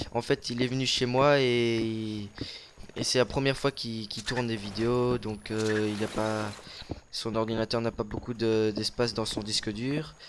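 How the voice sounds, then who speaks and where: Over noticeable background noise, a man with medium pitch speaks at a very slow pace with fairly even intonation. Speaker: gaming YouTuber. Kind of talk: casual gameplay commentary. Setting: recording together at home. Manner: loud.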